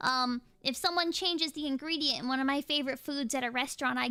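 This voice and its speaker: Pitch varies normally in a voice that is raised and projected. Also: woman. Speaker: VTuber streamer. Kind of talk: casual chat. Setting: livestream. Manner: halting.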